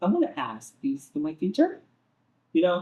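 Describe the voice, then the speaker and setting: The speech comes fairly slowly with a Spanish accent and ordinary pitch variation. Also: man. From Venezuela. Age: young. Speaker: Spanish teacher and translator. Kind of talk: interview answer.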